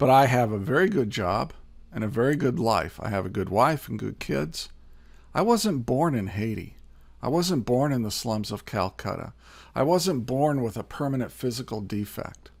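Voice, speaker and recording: The speaker is a man with an American accent and an unremarkable speaking voice. He talks at a moderate pace and medium pitch with lively intonation, in a very clean recording with a silent background. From US Midwest, Indiana. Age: 60s. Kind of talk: Bible teaching talk. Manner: conversational with fillers.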